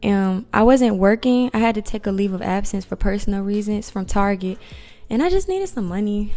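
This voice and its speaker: A normal speaking voice from a woman with an American accent, fairly high in pitch, with ordinary pitch variation at a moderate pace. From rural Virginia, US South. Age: 20s. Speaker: spa manager. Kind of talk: interview.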